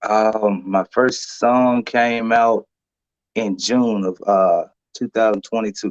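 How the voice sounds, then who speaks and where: A man speaks very slowly in a flat monotone with an Alabama accent, the sound dry and close with no echo. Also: medium pitch for a man. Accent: US Southern (Alabama). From Alabama, Lowndes County. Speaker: singer and truck driver. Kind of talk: interview. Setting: live stream.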